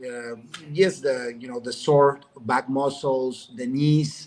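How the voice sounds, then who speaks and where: A man with a Mexican accent, fairly high-pitched, at a very slow pace with fairly even intonation. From Mexico. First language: Spanish. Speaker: businessman. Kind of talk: testimony. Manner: halting.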